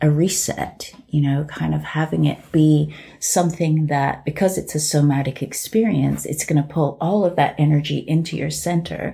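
Somewhat breathy and dark, mellow in tone, a woman speaks at a moderate pace with a very deep, low pitch and fairly even intonation. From England. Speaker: artist and healing practitioner. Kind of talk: casual chat.

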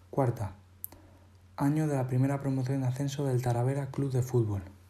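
A man with a medium-pitched, somewhat breathy voice and a dark, mellow tone talks at a fairly quick pace with fairly even intonation. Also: long, frequent pauses, very even loudness. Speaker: journalism student podcaster on football. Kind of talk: scripted narration.

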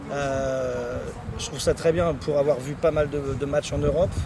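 Noticeable background noise sits behind a man who talks fairly slowly, his pitch varying in an ordinary way. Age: 40s. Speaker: football supporter. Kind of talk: casual interview. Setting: motorway service area.

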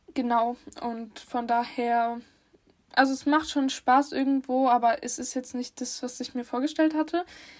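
On a very clean recording with a silent background, a woman speaks at a high pitch with fairly even intonation. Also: fairly slow pace. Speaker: podcast co-host. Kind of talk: casual chat.

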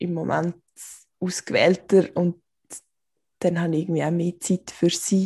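Monotone, flat intonation carries a dark, mellow tone. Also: woman. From Switzerland, canton Aargau. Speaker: podcast co-host. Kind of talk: casual chat.

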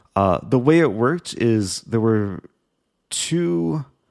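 Lively intonation marks this man's speech in a Midwestern American accent. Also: very clean recording, silent background. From US Midwest, Skokie, Illinois. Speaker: chess streamer. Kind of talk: casual interview. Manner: hesitant, many fillers.

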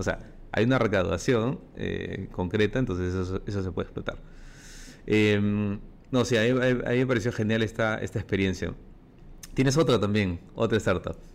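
In a Peruvian accent, a man with a fairly low pitch and ordinary pitch variation speaks at a moderate pace, leaving long, frequent pauses. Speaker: podcast host. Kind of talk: interview.

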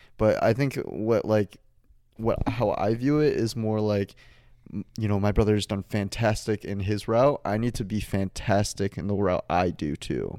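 A man with a Midwestern American accent, fairly low pitch, a dark, mellow tone, ordinary pitch variation and a fairly slow pace, recorded very cleanly against a silent background. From Michigan, Detroit suburbs. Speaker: college student podcast co-host. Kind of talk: casual chat.

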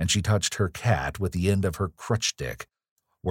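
A natural reading voice carries fairly even intonation. The background is quiet.

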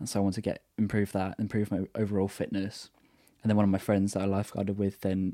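In a very clean recording with a silent background and dry, close sound with no echo, a man with a southern English accent speaks very fast in a fairly low pitch, with a dark, mellow tone and monotone, flat intonation. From southern England, Brighton. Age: 20s. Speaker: university student, photographer. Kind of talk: casual chat.

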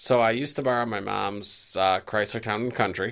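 The delivery is animated and moderately paced. The recording is very clean, with a silent background. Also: man. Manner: joking, animated.

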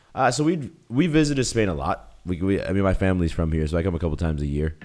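Here a man talks at a very fast pace. His pitch is very deep and low. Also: very clean recording, silent background. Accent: Boston. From US Northeast (Boston). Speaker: YouTuber and entrepreneur. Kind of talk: casual interview chat.

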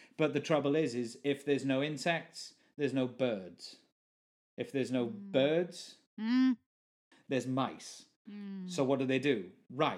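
With a South Welsh accent and lively intonation, a man with a fairly high pitch speaks at a fairly slow pace, leaving long, frequent pauses. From South Wales. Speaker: session musician and permaculture gardener. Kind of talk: casual chat.

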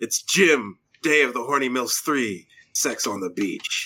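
Speaking at a fairly slow pace, a man uses a plain, everyday voice of medium pitch with ordinary pitch variation. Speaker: podcast host. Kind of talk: casual chat. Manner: joking.

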